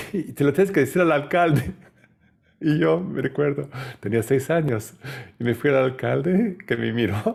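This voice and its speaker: With a non-native accent, a man talks at a fairly high pitch with vocal fry and lively intonation. His pace is fairly slow, with long, frequent pauses. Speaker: spiritual lecturer. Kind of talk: lecture. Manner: halting, many fillers.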